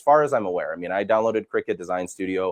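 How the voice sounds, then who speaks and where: The speaker is a man. His sound is dry and close, with no echo. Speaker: product demonstrator. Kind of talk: live product demo with audience questions. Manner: loud.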